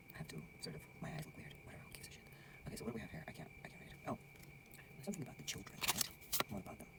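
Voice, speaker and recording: Whispering at a very fast pace with long, frequent pauses, the speaker is heard over noticeable background noise. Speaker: tarot reader. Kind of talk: tarot reading monologue. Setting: lodge at night, dark room. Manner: whispered, soft; casual, conversational.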